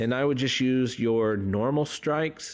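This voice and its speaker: A man with lively intonation on a very clean recording, silent background. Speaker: gaming YouTuber. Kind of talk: gameplay tutorial commentary. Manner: halting, with many fillers.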